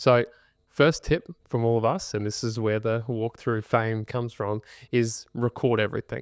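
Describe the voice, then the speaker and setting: A man talks with an Australian accent. The sound is dry and close with no echo, in a very clean recording with a silent background. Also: medium pitch for a man, fairly even intonation, moderate pace. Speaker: podcast host, buyer's agent. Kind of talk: podcast tutorial chat. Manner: volume toned down.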